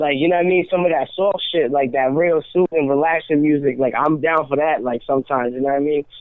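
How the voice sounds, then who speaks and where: Speaking very fast with hardly any pauses, a man with an American accent keeps his loudness very even. His pitch is fairly high and his intonation fairly even. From Rhode Island, US. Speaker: rapper. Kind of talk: casual radio interview.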